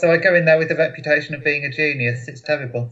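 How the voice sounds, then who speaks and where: A man with an English accent speaks at a very fast pace. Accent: English accent, noted as interesting. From England, Boston, Lincolnshire. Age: 30s. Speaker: memory champion, financial analyst. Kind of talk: casual interview. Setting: video call.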